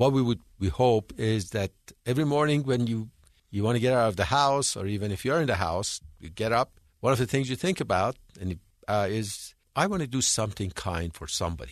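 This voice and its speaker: A man with an Iranian accent, medium in pitch, at a fairly quick pace with lively intonation, over a quiet background. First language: Persian. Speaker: foundation founder, businessman. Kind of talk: radio interview.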